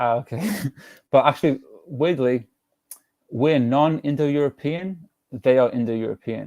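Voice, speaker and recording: A man with a dark, mellow tone speaks at a medium pitch and a moderate pace, with ordinary pitch variation. He leaves long, frequent pauses, and the sound is dry and close with no echo. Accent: English. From England, of Georgian descent. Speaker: discussion participant. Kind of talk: casual group chat. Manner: halting.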